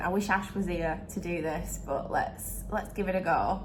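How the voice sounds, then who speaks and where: A woman is speaking. She has a northern English accent. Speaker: vlogger.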